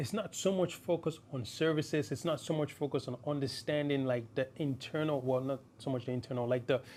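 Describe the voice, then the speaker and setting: A man's fairly high voice at a fairly quick pace, ordinary in pitch variation and with hardly any pauses. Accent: non-native. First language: not English. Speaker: tech YouTuber. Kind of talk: tutorial. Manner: halting.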